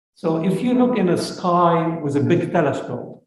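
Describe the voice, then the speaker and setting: A man's lively intonation amid audible room echo. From Lebanon. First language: Arabic. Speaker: space scientist. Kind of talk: lecture.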